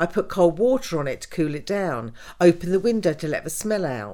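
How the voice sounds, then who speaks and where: In a very clean recording with a silent background, a woman with a southern English accent talks at a fairly quick pace, her medium pitch making very wide swings. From southern England, Wimbledon. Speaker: mother of the host. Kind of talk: personal storytelling interview.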